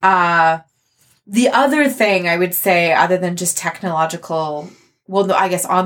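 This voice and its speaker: Over a silent background on a very clean recording, a woman with a Canadian accent and an unremarkable speaking voice talks at medium pitch and a moderate pace. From Canada. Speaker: theatre artist and podcaster. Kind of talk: casual interview.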